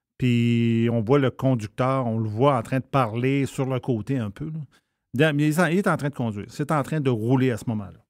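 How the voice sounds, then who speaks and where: A man with an unremarkable speaking voice, medium in pitch, at a moderate pace with ordinary pitch variation. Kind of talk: casual chat.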